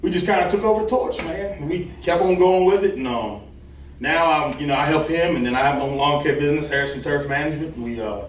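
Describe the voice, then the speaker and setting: Talking at a very fast pace with a Virginia accent, a man with a fairly high pitch uses lively intonation, while room echo is audible and background noise is noticeable. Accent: Southern US (Virginia). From Virginia (Forest area). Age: 20s. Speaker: farmer and lawn care business owner. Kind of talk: casual interview chat.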